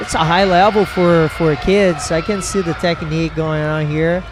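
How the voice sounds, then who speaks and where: Against noticeable background noise, a man with a Brazilian Portuguese accent speaks very slowly at a fairly high pitch with fairly even intonation. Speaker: jiu-jitsu instructor and guest commentator. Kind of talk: live commentary.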